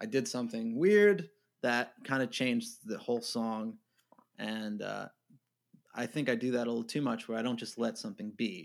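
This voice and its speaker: A man with an American accent talks at a moderate pace in a normal speaking voice. His pitch is medium, with ordinary pitch variation. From New York. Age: 30s. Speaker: indie musician. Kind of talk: casual interview. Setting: remote call.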